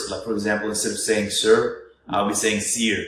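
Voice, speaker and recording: There is audible room echo. A man speaks at a fairly low pitch. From Egypt. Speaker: international student. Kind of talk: casual interview.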